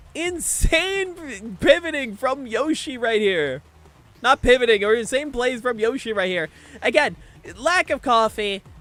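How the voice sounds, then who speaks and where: A man at an extremely high pitch, with very wide pitch swings and a fairly slow pace, music in the background. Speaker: vtuber streamer and tournament caster. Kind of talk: live game commentary. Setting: livestream. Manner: stuttering; animated.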